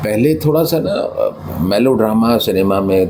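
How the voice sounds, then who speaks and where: A man with a Punjabi accent talks over noticeable background noise. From Gwalior, Madhya Pradesh, India. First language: Punjabi (speaking Hindi). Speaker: actor. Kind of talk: interview. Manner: hesitant, many fillers.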